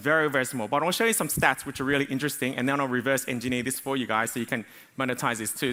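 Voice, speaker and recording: A man speaks in a bright, sharp tone at a fairly high pitch. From Australia. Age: 40s. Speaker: business coach. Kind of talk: conference talk. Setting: stage with audience.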